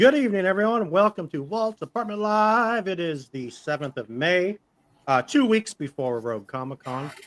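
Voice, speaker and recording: Recorded very cleanly over a silent background with a dry, close sound and no echo, a man with a high pitch makes very wide pitch swings. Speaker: live stream show host. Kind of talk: casual chat. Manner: fast.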